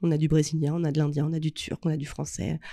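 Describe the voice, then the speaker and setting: A woman's dark, mellow tone moves at a moderate pace on a very clean recording with a silent background. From Normandy, Rouen. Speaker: entrepreneur. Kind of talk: casual interview.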